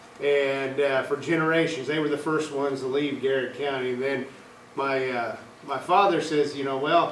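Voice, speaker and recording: Someone with an American accent talks at a moderate pace with fairly even intonation, amid noticeable background noise and audible room echo. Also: man, fairly high pitch for a man. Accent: Midwestern, noticeable to Kentuckians. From Illinois, US Midwest. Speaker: university meat specialist. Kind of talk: workshop lecture.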